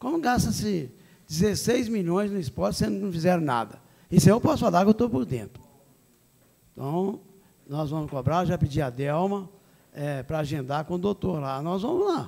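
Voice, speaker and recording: A man talks at a moderate pace, high in pitch with a dark, mellow tone. His intonation is lively, and he takes long, frequent pauses. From Minas Gerais, Brazil. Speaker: council president. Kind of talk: chairing a council meeting. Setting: city council chamber. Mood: indignant, defensive. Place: hall. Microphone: podium.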